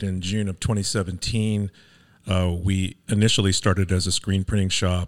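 The recording is very clean, dry and close with no echo, over a silent background. A man speaks at a moderate pace with a fairly low pitch. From Venice, Los Angeles, California. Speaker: small business owner. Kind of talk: casual interview.

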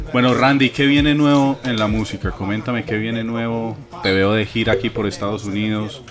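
Over noticeable background noise, a man with a Colombian accent talks with fairly even intonation. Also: medium pitch for a man, fairly quick pace. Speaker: podcast host. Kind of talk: casual chat.

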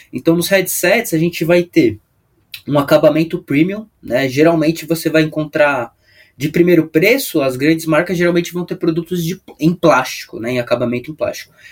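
A man uses a normal speaking voice with a fairly high pitch. He keeps a moderate pace and ordinary pitch variation. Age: 20s. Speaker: product specialist. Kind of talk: podcast interview.

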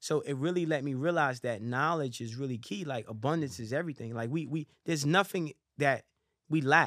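Speaking at a fairly quick pace, a man with a fairly high voice uses ordinary pitch variation on a very clean recording with a silent background. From US, New York (Harlem). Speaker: rapper, boxer and motivational speaker. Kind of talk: casual chat. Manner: animated.

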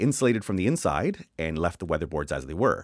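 A Canadian accent carries lively intonation and vocal fry over a very clean recording with a silent background. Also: man. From Canada. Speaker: building designer. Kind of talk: casual chat.

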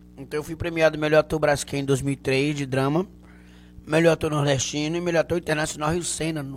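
A man's fairly high voice at a very fast pace, in monotone, flat intonation. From Bahia, Canavieiras. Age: 40s. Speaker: comedian. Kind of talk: casual chat.

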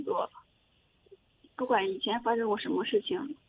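A woman's fairly high voice with lively intonation. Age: 20s. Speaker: caller, university student. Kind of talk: advice call-in, personal story. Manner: halting, repeats herself.

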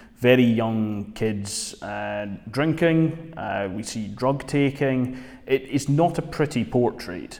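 A man with a Dundee accent, very slow, medium-pitched, lively in intonation. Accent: Scottish (Dundee). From Scotland, Dundee. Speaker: magazine editor and podcast host. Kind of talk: casual film review discussion.

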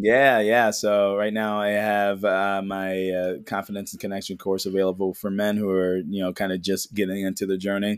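In an American accent, the speaker talks at a moderate pace with a relaxed tone, monotone, flat intonation and hardly any pauses. The recording is very clean, with a silent background. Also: man, fairly low pitch for a man. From Chicago, Illinois. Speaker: men's mental health coach and Reiki healer. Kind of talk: casual interview chat. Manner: relaxed, smooth.

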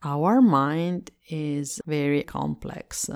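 A woman with an Italian accent speaks at a very deep, low pitch. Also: very clean recording, silent background. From Italy. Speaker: meditation teacher. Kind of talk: guided meditation. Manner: slow.

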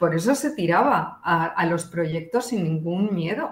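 A woman's voice with very wide pitch swings at a fairly slow pace. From Spain. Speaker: art historian. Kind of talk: radio interview.

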